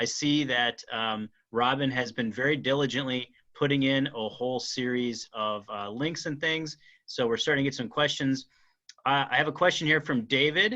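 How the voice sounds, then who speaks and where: Bright and sharp in tone, the voice varies its pitch in an ordinary way. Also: man. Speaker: archaeologist. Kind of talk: Q&A session. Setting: video call. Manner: fast.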